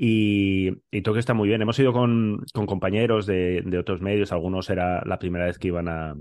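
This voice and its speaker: In an ordinary speaking voice, a man talks at a fairly quick pace and fairly low pitch with fairly even intonation. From Spain, Bilbao. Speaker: podcast co-host. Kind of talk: casual chat.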